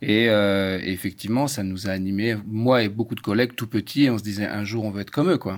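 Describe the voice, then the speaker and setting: A man with an ordinary speaking voice talks at a fairly low pitch and a fairly quick pace, with hardly any pauses. His intonation stays fairly even. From France. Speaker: chef. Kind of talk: casual chat.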